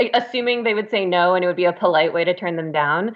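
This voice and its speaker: With an American accent, a woman speaks in an unremarkable speaking voice, fairly low in pitch, with ordinary pitch variation. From New York. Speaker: audiobook narrator and actor. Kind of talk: casual chat.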